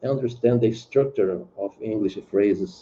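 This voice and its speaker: A man with a Brazilian Portuguese accent talks at a fairly slow pace and a medium pitch. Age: 70s. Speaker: retired singer, English learner. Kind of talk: language lesson conversation. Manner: halting.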